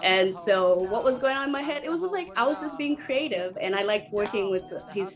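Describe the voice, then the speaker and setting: Set against background music, the speaker has a Zimbabwean accent, lively intonation and a fairly quick pace. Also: woman. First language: Shona. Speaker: singer and percussionist. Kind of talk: interview.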